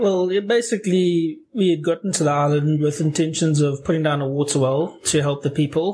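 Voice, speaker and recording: A man with a South African accent speaks at a fairly high pitch and moderate pace in a dark, mellow tone, with ordinary pitch variation, hardly any pauses and very even loudness. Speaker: missionary. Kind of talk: interview.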